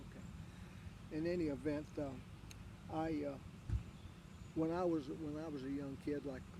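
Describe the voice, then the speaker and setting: A man with an Appalachian accent has a dark, mellow tone, somewhat breathy, at a fairly high pitch. His pace is moderate with ordinary pitch variation, and there is audible room echo. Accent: Appalachian Southern US. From US South, southwestern Virginia (Wise County). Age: 80s+. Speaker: interviewee, local golf champion. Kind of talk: casual interview. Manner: halting, many fillers.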